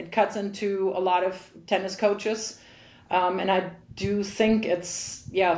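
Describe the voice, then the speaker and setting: A woman's dark, mellow voice at medium pitch, very slow and monotone with flat intonation, with audible room echo. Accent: German. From Germany. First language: German. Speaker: tennis coach and former pro player. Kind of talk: interview.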